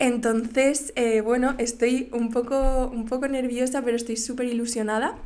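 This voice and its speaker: A woman speaks in a high, monotone, flat voice at a moderate pace with hardly any pauses. Noticeable background noise and audible room echo fill the recording. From Valencia, Spain. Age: 20s. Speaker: podcast host, graphic designer. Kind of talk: casual monologue. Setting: home studio, on camera. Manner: hesitant, many fillers.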